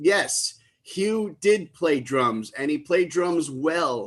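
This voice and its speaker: At a very slow pace, a man with a New York accent speaks at a fairly high pitch. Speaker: livestream tribute concert host. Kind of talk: live stream emcee chat. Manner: loud.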